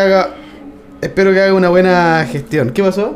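A man speaks at a high pitch against noticeable background noise. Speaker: podcast host. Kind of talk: casual chat.

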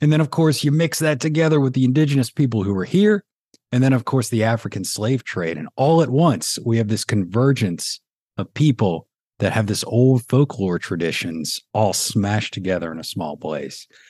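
With a Southern accent, a man speaks at a medium pitch in a dark, mellow tone with very wide pitch swings. The sound is dry and close, with no echo. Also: moderate pace. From New Orleans, Louisiana. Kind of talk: interview conversation.

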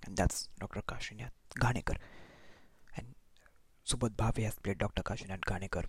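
A man's fairly low, somewhat breathy voice with long, frequent pauses. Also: fairly even intonation, moderate pace. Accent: Marathi. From India, Maharashtra. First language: Marathi. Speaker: podcast host, film recommender. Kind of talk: solo podcast monologue, reading plot summaries.

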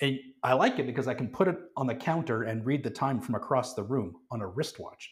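A somewhat breathy, medium-pitched man's voice in a Canadian accent, with ordinary pitch variation. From Calgary, Canada. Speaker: watch designer and brand co-owner. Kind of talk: casual chat. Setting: studio.

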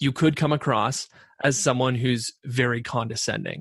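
A man with a Canadian accent, somewhat breathy, speaks at a moderate pace in a dry, close sound with no echo and a quiet background. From Canada (Ontario). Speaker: podcast co-host. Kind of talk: casual chat.

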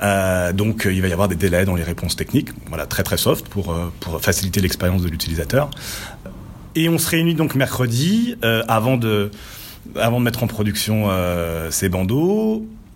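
A man with a fairly low voice talks at a moderate pace with lively intonation over noticeable background noise. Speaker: freelance developer. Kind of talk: casual discussion. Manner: animated.

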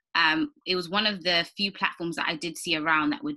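Speaking with a British accent, a woman has a fairly low pitch and a bright, sharp tone. Her pace is moderate. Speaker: podcast host. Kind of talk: interview.

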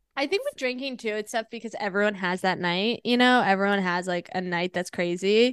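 A woman with an ordinary speaking voice and an American accent, at a fairly quick pace with hardly any pauses, dry and close with no echo, over a quiet background. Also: medium pitch for a woman, ordinary pitch variation. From Washington DC area / northern Virginia. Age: 30s. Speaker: stand-up comedian. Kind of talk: casual interview chat. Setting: podcast. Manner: fast, filler-heavy with lots of 'like'.

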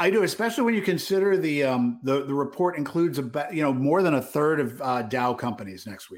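Barely pausing, a man talks at a very fast pace with lively intonation. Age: 50s. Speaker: retail trader and podcast co-host. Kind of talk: casual market analysis chat.

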